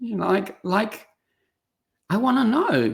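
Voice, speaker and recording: Speaking at a fairly slow pace with an Australian accent, a woman shows vocal fry. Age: 60s. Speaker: speaker and coach. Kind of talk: podcast interview.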